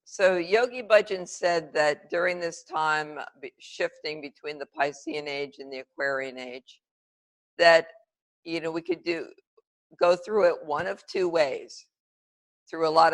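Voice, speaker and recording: A woman with an unremarkable speaking voice and a fairly low pitch talks at a fairly slow pace, with ordinary pitch variation and big swings in loudness. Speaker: yoga teacher. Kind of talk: guided yoga class instruction. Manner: calm, measured.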